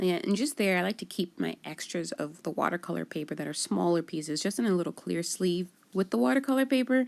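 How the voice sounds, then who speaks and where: A woman with vocal fry, very wide pitch swings and a very fast pace, on a very clean recording with a silent background. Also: fairly low pitch for a woman, hardly any pauses. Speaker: card-making crafter. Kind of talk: crafting tutorial. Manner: casual, chatty.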